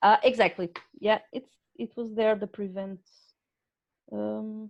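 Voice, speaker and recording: A woman talks with a non-native accent in a flat, monotone way. Her loudness swings widely against a quiet background. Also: fairly slow pace. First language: not English. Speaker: webinar presenter. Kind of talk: casual chat. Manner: halting.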